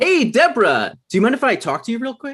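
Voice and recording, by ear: A man's put-on character voice at an extremely high pitch, fast-paced, with very wide pitch swings, a fairly bright tone and a slightly husky edge.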